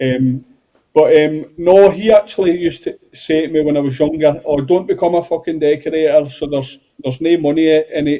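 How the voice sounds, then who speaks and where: In a southwest Scottish accent, the speech moves at a fairly quick pace with fairly even intonation. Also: man, fairly high pitch for a man. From Scotland, Galloway (Wigtown). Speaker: painter and decorator, podcast co-host. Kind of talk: casual interview chat.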